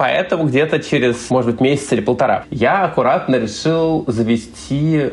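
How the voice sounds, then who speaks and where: A man talks at a fairly quick pace in a medium pitch with ordinary pitch variation. Noticeable background noise is present. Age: 30s. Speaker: caller. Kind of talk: testimony.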